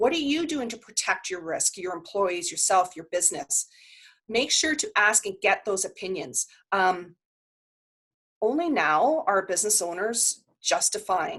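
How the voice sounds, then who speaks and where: Against a quiet background, a woman speaks slowly in a fairly high, passionate, animated tone with very wide pitch swings. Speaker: workshop presenter on insurance. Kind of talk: online workshop presentation.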